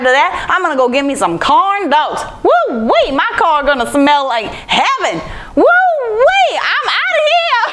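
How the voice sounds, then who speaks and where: An extremely high, put-on character voice moves at a fairly slow pace. Clear background noise can be heard. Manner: excited, whooping.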